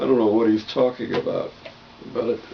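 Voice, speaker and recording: Noticeable background noise runs under this recording. A man speaks at medium pitch. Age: 60s. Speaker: video blogger on health and healing. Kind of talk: casual monologue. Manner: conversational.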